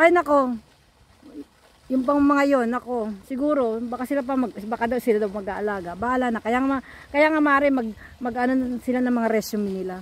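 A woman speaks at a moderate pace in a high voice with ordinary pitch variation, and the sound is dry with no echo. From Philippines. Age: 60s. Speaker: vlogger. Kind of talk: casual chat. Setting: outdoors. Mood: cheerful, joking. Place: waterside. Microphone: phone near.

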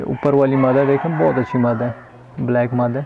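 Speaking at a fairly quick pace, a man with a medium-pitched voice shows vocal fry, a slightly husky edge and fairly even intonation.

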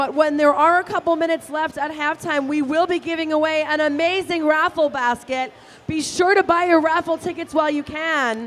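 A woman's extremely high pitch at a fairly quick pace, with hardly any pauses. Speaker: roller derby commentator. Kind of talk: live roller derby commentary with sponsor reads. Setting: live arena event. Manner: animated, chatty and playful, explains rules. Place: hall.

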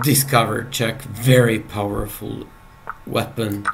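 Very slow speech from a man at a medium pitch, monotone and flat, over light background noise. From Serbia. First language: Serbian. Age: 30s. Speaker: chess player and streamer; chess player streamer. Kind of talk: live game commentary. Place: home room.

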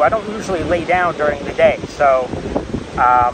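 A man speaks over noticeable background noise, his voice dry with no echo. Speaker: vlogger. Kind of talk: casual vlog chat. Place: beach. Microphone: lapel.

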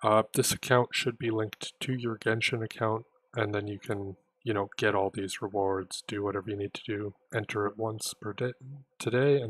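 A quiet man's fairly low voice with fairly even intonation in a dry sound with no echo. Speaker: gaming youtuber. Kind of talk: tutorial. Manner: quiet, held-back speech. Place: home room. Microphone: voice may be too quiet under game sound; headset.

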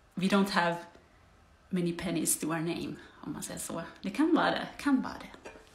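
With audible room echo, a woman with a fairly low pitch talks at a fairly quick pace, her loudness swinging widely and her speech broken by long, frequent pauses. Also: ordinary pitch variation. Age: 40s. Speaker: vlogger. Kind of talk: casual vlog monologue. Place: home room. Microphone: phone near.

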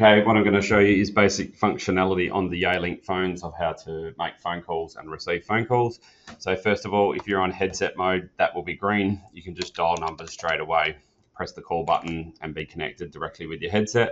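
Very deep and low, a man's voice moves at a fairly quick pace with fairly even intonation. Light background noise sits underneath. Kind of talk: tutorial. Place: meeting room.

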